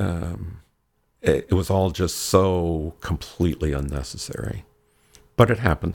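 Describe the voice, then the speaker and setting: Speaking with an American accent, a man with a very deep, low pitch and vocal fry goes at a fairly slow pace, with ordinary pitch variation and long, frequent pauses. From Michigan, US Midwest. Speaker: leather community titleholder. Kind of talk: casual chat. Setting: home dungeon space.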